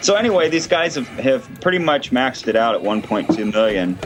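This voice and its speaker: At a moderate pace over music in the background, the speaker uses lively intonation with an American accent. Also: man. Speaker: livestream host, gaming commentator. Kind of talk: casual live-stream chat.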